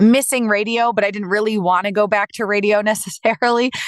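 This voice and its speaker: A woman with an American accent talks at a very fast pace in a fairly high voice. The sound is dry and close with no echo, over a quiet background. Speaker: professional voice actor. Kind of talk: interview answer.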